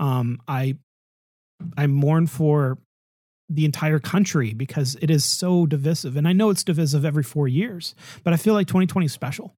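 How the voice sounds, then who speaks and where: Somewhat breathy, dark, mellow tone at a moderate pace, with ordinary pitch variation. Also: man, fairly high pitch for a man, very clean recording, silent background. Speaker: podcast host. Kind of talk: casual chat.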